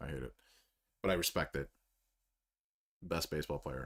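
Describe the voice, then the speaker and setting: A man talks very fast with vocal fry. The recording is very clean, with a silent background. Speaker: sports streamer. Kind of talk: live watch-along commentary. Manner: animated, loud.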